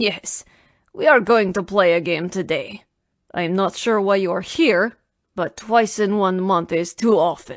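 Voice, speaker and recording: A woman's put-on character voice, growling at a medium pitch and a fairly slow pace. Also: ordinary pitch variation. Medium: read story. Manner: dry, guarded, curt.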